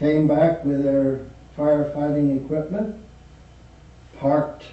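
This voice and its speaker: With an American accent, a man speaks in a somewhat breathy voice at a fairly high pitch. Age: 80s+. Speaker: family storyteller. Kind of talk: oral history recollection.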